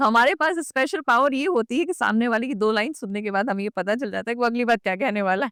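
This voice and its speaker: A woman with a plain, everyday voice speaks at a fairly high pitch with lively intonation and hardly any pauses, the sound dry and close with no echo. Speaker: radio jockey. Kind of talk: podcast interview answer.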